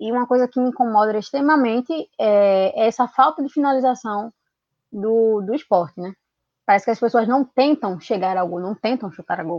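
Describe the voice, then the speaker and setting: Here a woman has a plain, everyday voice pitched fairly high. She speaks at a moderate pace with lively intonation. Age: 20s. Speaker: football commentator and historian. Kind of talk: casual football discussion.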